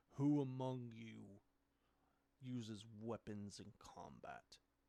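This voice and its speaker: A put-on character voice booms out. It goes at a very slow pace. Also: man, medium pitch for a man. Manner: commanding.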